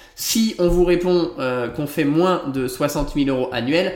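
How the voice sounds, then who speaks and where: Noticeable background noise surrounds a man who speaks with a fairly high pitch. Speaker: interior architect and podcast host. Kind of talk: solo podcast monologue.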